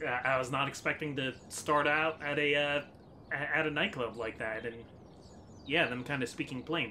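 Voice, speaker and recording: A man's fairly high voice at a moderate pace. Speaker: gaming YouTuber. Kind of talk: casual let's-play commentary. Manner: hesitant, many fillers.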